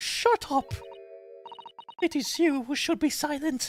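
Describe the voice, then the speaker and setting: Someone uses a put-on character voice with a British accent, pitched high and delivered at a fairly slow pace. Music plays in the background. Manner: angry, shouting, abrupt.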